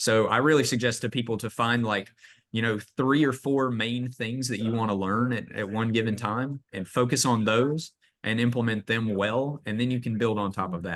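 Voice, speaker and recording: Speaking with a slight Southern US accent, a man keeps a medium pitch and fairly even intonation at a moderate pace. The background is quiet. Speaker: real estate agent and AI trainer. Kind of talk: training webinar presentation. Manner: casual, many fillers.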